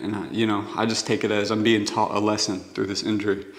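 The man talks at a fairly quick pace. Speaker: basketball player vlogger. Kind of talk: casual vlog chat. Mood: reflective, slightly down. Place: garage. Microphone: camera far.

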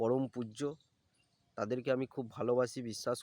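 A man with a medium pitch uses a normal speaking voice, recorded with a dry, close sound and no echo. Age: 30s. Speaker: vlogger. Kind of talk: personal vlog monologue.

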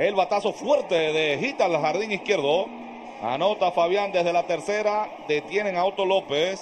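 Despite noticeable background noise, a man with a high voice holds very even loudness at a fairly slow pace with ordinary pitch variation. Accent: Dominican. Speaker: baseball play-by-play announcer. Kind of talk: sports commentary, live play-by-play. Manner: animated, energetic.

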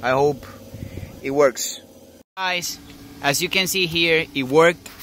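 Speaking very slowly with a non-native accent, a man with a fairly high pitch and ordinary pitch variation comes through dry with no echo over light background noise. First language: not English. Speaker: car DIY hobbyist. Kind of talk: DIY car repair tutorial. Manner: casual, hesitant. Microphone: phone near.

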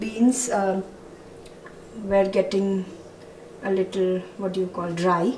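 A woman's very slow, monotone, flat delivery with audible room echo and light background noise. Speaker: home vlogger. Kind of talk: casual vlog chat. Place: kitchen. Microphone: phone near.

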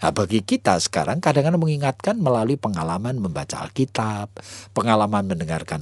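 In a normal speaking voice, a man with a fairly low pitch talks at a fairly quick pace with lively intonation over a quiet background. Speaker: pastor. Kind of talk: radio sermon.

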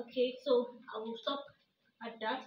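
At a very slow pace, a woman speaks in a high pitch with fairly even intonation. Audible room echo and light background noise are present. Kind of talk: casual cooking tutorial. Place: kitchen. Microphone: phone near.

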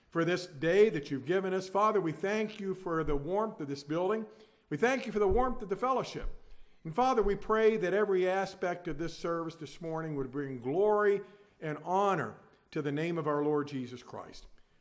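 Over a quiet background, a man talks at a moderate pace with a high pitch and ordinary pitch variation. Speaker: pastor leading a service. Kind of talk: welcome announcements and prayer. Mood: reverent prayer from 341 s. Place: church.

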